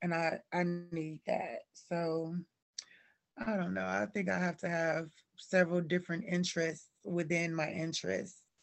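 A plain, everyday voice from a woman with an American accent, fairly low in pitch, with fairly even intonation at a fairly slow pace. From Cleveland, Ohio, with years in Alabama and Georgia. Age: 30s. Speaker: fashion blogger and stylist. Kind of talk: casual interview chat.

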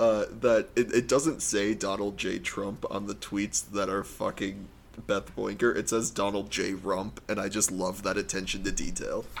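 A man with a plain, everyday voice, fairly low in pitch and fairly even in intonation, at a moderate pace with hardly any pauses. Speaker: podcast co-host. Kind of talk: casual comedic chat.

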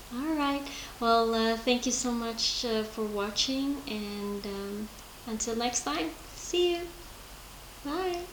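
At a very slow pace with long, frequent pauses, a woman speaks at a fairly high pitch with lively intonation. Audible room echo and noticeable background noise fill the recording. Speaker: podcast host. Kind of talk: casual interview. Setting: at guest's home. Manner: halting, many fillers.

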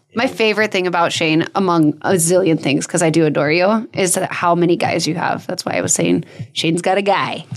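A woman's fairly low voice at a fairly quick pace with hardly any pauses, over noticeable background noise. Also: fairly even intonation. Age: 30s. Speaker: podcast co-host. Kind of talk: casual chat.

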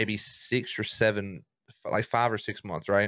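A man with a Southern US accent speaks at a fairly slow pace in a fairly low pitch, his tone bright and sharp and his intonation fairly even, on a very clean recording with a silent background. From US South, Mississippi. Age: 20s. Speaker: streamer, content creator. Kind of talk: casual chat.

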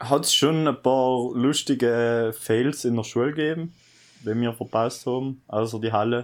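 On a very clean recording with a silent background, a man with an unremarkable speaking voice talks at a medium pitch and a fairly slow pace with fairly even intonation. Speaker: podcast host, recent school graduate. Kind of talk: casual chat.

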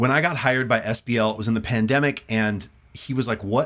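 A man's speech, at a moderate pace, is captured on a very clean recording against a silent background. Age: 40s. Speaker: bass player and content creator. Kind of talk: casual chat. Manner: animated.

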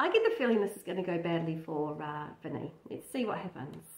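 A woman talks fast with lively intonation in a fairly low pitch. Room echo can be heard.

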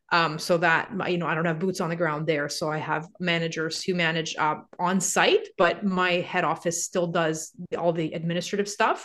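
A woman's fairly low, monotone, flat voice at a moderate pace. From Canada, Montreal. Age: 40s. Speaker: real estate investor and author. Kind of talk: casual interview.

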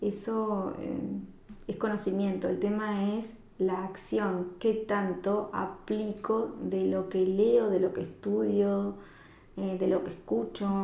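A woman talks at a very slow pace. Noticeable background noise and audible room echo are present. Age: 40s. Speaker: life coach. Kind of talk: casual interview chat.

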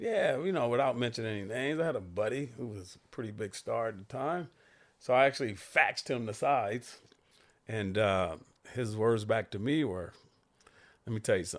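With an ordinary speaking voice, a man talks at a fairly quick pace in a medium pitch with ordinary pitch variation, on a very clean recording with a silent background. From Santa Monica, California. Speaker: stunt actor and storyteller. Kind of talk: casual chat.

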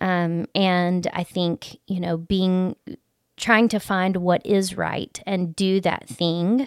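Speaking at a very slow pace in a Southern US accent, a woman with a fairly low pitch is heard in a very clean recording with a silent background. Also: dry, close sound with no echo. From US South, Alabama Gulf Coast. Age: 40s. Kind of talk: personal testimony in casual interview.

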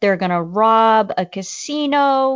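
With an American accent, a woman is talking. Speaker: podcast co-host. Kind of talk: casual chat. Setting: remote call, co-hosts far apart.

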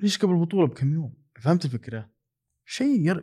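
With lively intonation and a dark, mellow tone, a man speaks at a moderate pace in a fairly high voice. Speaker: football podcaster. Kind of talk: casual monologue. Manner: soft-spoken.

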